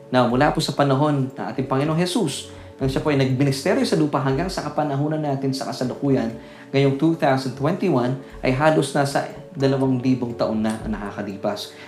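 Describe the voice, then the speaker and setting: A man's fairly high voice at a moderate pace with ordinary pitch variation, plus audible room echo and noticeable background noise. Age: 40s. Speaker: pastor. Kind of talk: sermon. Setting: Facebook Live broadcast.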